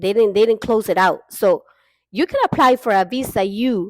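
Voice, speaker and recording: At a moderate pace, a woman with a Honduran accent speaks at a fairly high pitch with ordinary pitch variation, in a very clean recording with a silent background and a dry, close sound with no echo. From Honduras. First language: Spanish. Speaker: vlogger. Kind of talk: casual monologue.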